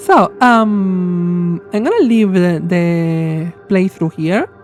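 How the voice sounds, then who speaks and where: Very slow speech from a woman, medium in pitch, with ordinary pitch variation over noticeable background noise. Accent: non-native. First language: not English. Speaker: streamer, VTuber. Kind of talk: live game stream commentary. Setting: live stream. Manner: hesitant, many fillers.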